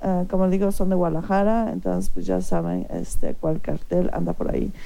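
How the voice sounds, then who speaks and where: A voice with a dark, mellow tone is heard with audible room echo. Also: woman. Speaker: radio show host. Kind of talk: casual radio talk show.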